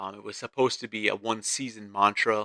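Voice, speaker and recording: In a dry, close sound with no echo, a man speaks at a fairly low pitch with a bright, sharp tone and monotone, flat intonation. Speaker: podcast host. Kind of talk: casual monologue podcast. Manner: loud. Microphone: new USB mic, close to mouth.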